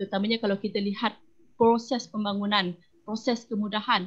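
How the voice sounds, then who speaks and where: The voice is somewhat breathy. Its intonation stays flat and monotone. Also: woman. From Malaysia, Perak (Semai Orang Asli). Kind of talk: online panel discussion.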